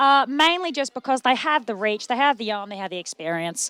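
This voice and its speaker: A woman with an Australian accent talks fairly quickly in a high, bright, sharp voice with lively intonation. The recording is very clean with a silent background and a dry, close sound with no echo. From Australia, Melbourne. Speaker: sports commentator. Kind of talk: live commentary. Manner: animated.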